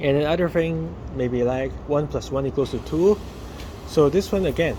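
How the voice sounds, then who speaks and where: Moderate pace and ordinary pitch variation in a Chinese accent, with noticeable background noise. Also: man, fairly high pitch for a man. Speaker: daily vlogger. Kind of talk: casual vlog monologue. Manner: halting, many fillers.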